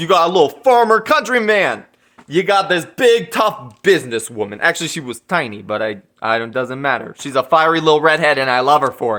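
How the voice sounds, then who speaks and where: A man talks loudly at a fairly quick pace, his fairly high voice swinging very widely in pitch with an animated tone. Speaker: movie reviewer. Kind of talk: casual vlog review.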